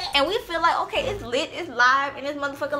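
Over faint background music, a woman talks very fast in a raised, projected voice. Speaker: vlogger. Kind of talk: casual storytime vlog chat. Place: home room. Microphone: camera far.

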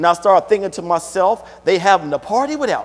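At a fairly quick pace, a man talks in a high pitch. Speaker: preacher. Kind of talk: sermon. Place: church.

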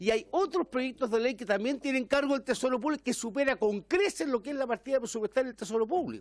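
Extremely high in pitch, a man speaks at a fairly quick pace with lively intonation. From Chile. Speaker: member of parliament. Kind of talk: parliamentary debate. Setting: parliamentary committee room. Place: meeting room. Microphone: podium.

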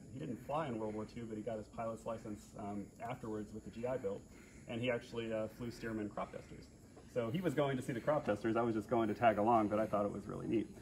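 A man with an American accent talks at a very fast pace. His intonation stays fairly even over light background noise. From US Midwest, central Illinois. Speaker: restoration project lead, aircraft owner; presenter. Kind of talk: panel discussion. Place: garage. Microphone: phone near.

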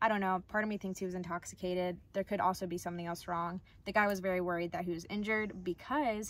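Talking at a very fast pace with hardly any pauses, a woman keeps a fairly even intonation in a dry sound with no echo. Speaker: van life vlogger. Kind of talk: casual vlog chat. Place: home room. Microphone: phone near.

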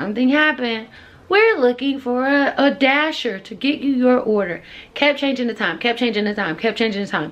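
A woman with a high pitch at a fairly quick pace. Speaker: teacher, vlogger. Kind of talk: casual vlog chat. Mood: exasperated, venting about delivery. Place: home room. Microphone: phone near.

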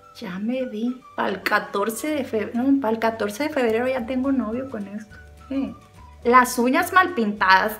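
Over faint background music, a woman with a high pitch speaks in a playful tone at a moderate pace, with ordinary pitch variation and big swings in loudness. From Sinaloa, Mexico. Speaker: beauty vlogger. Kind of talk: casual comedic talk to camera. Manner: playful, chatty. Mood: playful, self-mocking humor. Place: home room.

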